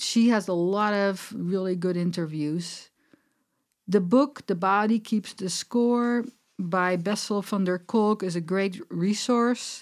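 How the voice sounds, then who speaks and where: A woman with a medium-pitched voice speaks at a very slow pace in a very clean recording with a silent background. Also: ordinary pitch variation. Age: 60s. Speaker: clinical nutritionist and herbalist. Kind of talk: interview conversation. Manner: halting, many fillers.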